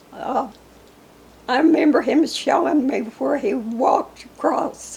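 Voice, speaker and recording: Over noticeable background noise, a woman with an American accent speaks very slowly in a high pitch, with ordinary pitch variation. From Arkansas, near Newport. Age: 80s+. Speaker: local elder interviewed about history. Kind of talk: oral history interview.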